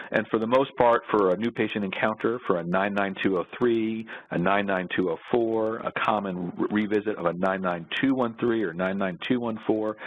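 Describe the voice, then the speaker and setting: With an American accent, a man talks in a fairly low pitch and fairly even intonation, hardly pausing at all. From New York. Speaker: orthopedic surgeon. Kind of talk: presentation. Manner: fast.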